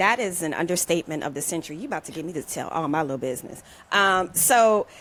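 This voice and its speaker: A normal speaking voice with lively intonation. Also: woman. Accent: American. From US South, New Orleans. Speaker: former actor, podcast guest. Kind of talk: personal storytelling in interview.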